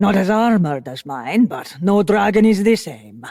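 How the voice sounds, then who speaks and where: In a put-on character voice at a middle pitch, the speaker goes at a fairly slow pace on a very clean recording with a silent background. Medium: read story. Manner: measured, solemn.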